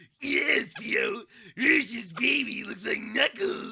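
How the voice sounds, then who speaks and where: A man uses a put-on character voice at extremely high pitch. He talks at a very slow pace. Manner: brash, obnoxious.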